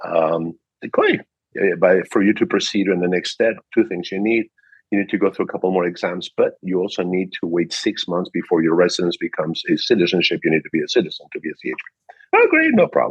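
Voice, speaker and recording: Very fast speech comes from a man, captured with a dry, close sound and no echo. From Peru. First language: Spanish. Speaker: car dealership manager. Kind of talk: interview. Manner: animated.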